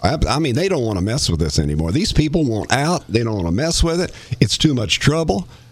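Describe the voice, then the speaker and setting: A man with an East Tennessee accent at a medium pitch, talking at a fairly quick pace with very wide pitch swings amid noticeable background noise. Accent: Southern US (East Tennessee). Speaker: radio host and former county commissioner. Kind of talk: casual chat.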